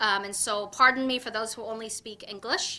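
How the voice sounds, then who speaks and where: A woman with an Ethiopian accent speaks in a raised, projected voice with a bright, sharp tone, on a very clean recording with a silent background. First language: Afan Oromo. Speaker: political candidate. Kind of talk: campaign speech.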